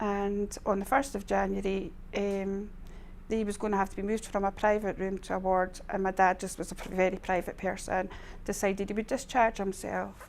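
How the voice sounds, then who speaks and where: In a very clean recording with a silent background, a woman with an Edinburgh accent speaks at a moderate pace and medium pitch in a flat monotone. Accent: Scottish (Edinburgh). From Scotland, Edinburgh. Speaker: charity admin manager. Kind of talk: testimony. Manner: halting.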